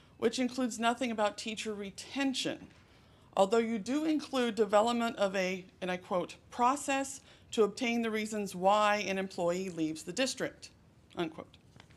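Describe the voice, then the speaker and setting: The speech moves at a moderate speed. Its pitch shifts in an ordinary way. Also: woman, fairly high pitch for a woman. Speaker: high school English teacher. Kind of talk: public comment at board meeting. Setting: school board meeting. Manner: loud; projecting teacher voice.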